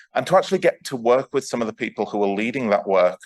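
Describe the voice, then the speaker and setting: Someone with a northern English accent speaks at a very fast pace. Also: man. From northern England. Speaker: astronomer and festival host. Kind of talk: speech introducing a speaker.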